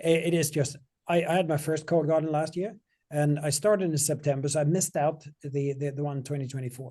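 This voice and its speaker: Talking very fast, a man has a dark, mellow tone that is somewhat breathy. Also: quiet background. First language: not English. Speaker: software company CEO. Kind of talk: interview Q&A. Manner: halting.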